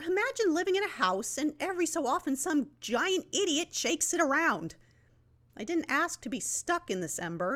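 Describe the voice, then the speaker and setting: A shrill, high-pitched, put-on character voice speaks at a moderate pace. The recording is very clean with a silent background. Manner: shrill, complaining.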